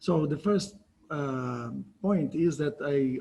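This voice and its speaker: A man with a Brazilian accent. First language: Portuguese. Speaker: cell biology professor. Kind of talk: lecture. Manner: hesitant.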